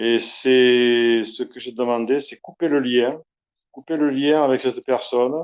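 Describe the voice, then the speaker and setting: Fairly even intonation marks speech that moves at a very slow pace. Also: man, medium pitch for a man. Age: 60s. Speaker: retired career soldier giving a client testimonial. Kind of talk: testimony. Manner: hesitant, many filler sounds.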